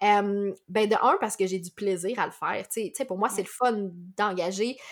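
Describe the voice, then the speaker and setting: Here a woman has a normal speaking voice, pitched fairly high, at a moderate pace. The recording is very clean, with a silent background. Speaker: podcast host. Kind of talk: interview conversation.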